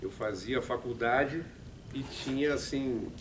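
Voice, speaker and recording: Audible room echo surrounds a man speaking in a fairly high pitch. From Brazil, São Paulo. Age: 60s. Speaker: radio production manager and musician. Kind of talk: talk to students. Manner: halting.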